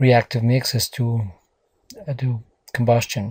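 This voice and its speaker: A man's somewhat breathy, dark and mellow voice at medium pitch, with monotone, flat intonation. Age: 40s. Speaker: university professor. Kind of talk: lecture. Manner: hesitant, many fillers.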